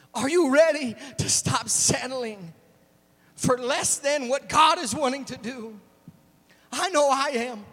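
A man with an extremely high-pitched voice speaks at a fairly slow pace with long, frequent pauses, amid noticeable background noise. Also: ordinary pitch variation. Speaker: preacher. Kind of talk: sermon. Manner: animated.

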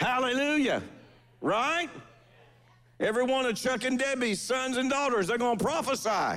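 The tone is fairly bright, with lively intonation. The pace is moderate. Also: man, extremely high pitch for a man.

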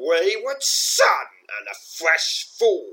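This man puts on a character voice and draws his words out at a very slow pace. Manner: hissing, menacing.

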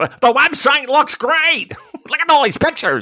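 A put-on character voice, high in pitch, delivers its lines at a moderate pace.

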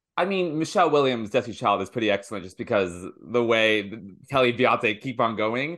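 A man's very fast delivery in an American accent, with lively intonation and big swings in loudness over a quiet background. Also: medium pitch for a man. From US, Washington D.C. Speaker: comedian and late night show host. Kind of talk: casual chat. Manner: animated.

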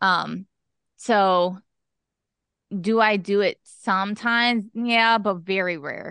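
Against a quiet background, a woman with a bright, sharp tone speaks at a very slow pace with long, frequent pauses and fairly even intonation in a dry, close sound with no echo. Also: medium pitch for a woman. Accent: American. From Pennsylvania (East Stroudsburg, Poconos). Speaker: fitness and wellness coach. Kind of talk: casual interview.

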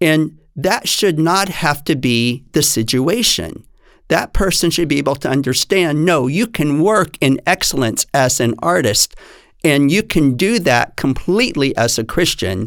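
In a normal speaking voice, a man with an American accent talks at a fairly slow pace, his pitch fairly high and his intonation lively. His loudness stays very even on a very clean recording with a silent background. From Texas. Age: 60s. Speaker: dance teacher. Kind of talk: interview.

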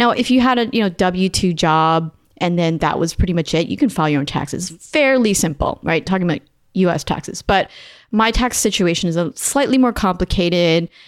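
On a very clean recording with a silent background, a woman with a plain, everyday voice, fairly low in pitch, talks at a fairly quick pace with lively intonation and very even loudness. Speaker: podcast host. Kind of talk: casual chat.

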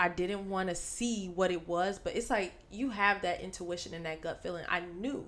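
Animated in tone, a woman talks at a medium pitch. She keeps a moderate pace. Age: 20s. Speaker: podcast co-host; teacher. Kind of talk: casual chat.

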